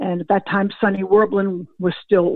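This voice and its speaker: A woman with a normal speaking voice, medium pitch, moderate pace and fairly even intonation. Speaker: former football scout. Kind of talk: interview.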